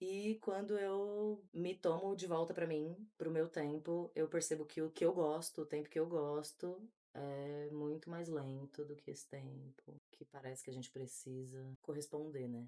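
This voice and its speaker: Pauses barely occur. Still, the delivery runs fairly slow. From São Paulo east zone, Brazil. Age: 20s. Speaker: podcast guest. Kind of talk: casual conversation.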